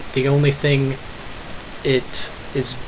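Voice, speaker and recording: Noticeable background noise runs under the recording. A man speaks at a medium pitch. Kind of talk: casual talk to camera. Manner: hesitant, stuttering.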